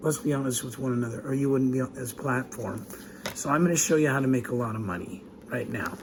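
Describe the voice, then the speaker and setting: A man talks with fairly even intonation while noticeable background noise carries on. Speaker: business speaker teaching how to make money. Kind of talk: casual, conversational.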